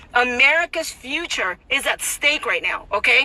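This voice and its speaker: An animated, raised and projected voice moves through very wide pitch swings. Noticeable background noise is present. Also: woman. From Mexico City. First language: Spanish. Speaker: political commentator. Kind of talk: casual vlog commentary. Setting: outdoors in Tijuana, neighbor present. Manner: animated, repetitive and emphatic.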